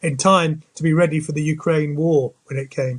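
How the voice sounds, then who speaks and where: Using an ordinary speaking voice, a man talks at a fairly quick pace. His pitch is fairly high and his intonation fairly even. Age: 60s. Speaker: space industry business leader. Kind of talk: interview conversation. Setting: video podcast.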